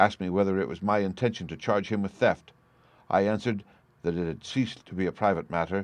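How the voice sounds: The natural reading voice holds a fairly even intonation throughout.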